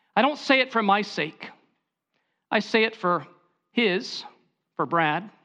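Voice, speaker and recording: In a raised, projected voice with a bright, sharp tone, a man speaks at a high pitch and a fairly slow pace, with lively intonation and long, frequent pauses. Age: 40s. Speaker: pastor. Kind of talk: sermon.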